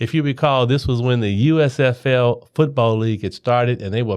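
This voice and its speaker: In an ordinary speaking voice, a man with an American accent talks at a moderate pace and medium pitch, with ordinary pitch variation against a quiet background. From Cincinnati, Ohio. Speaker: mayoral candidate. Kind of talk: podcast interview.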